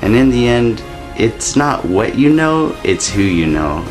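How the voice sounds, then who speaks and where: There is clear music in the background as a man speaks. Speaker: vlogger. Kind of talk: casual vlog chat, mock advice. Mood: playful, sly. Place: home room. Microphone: phone near.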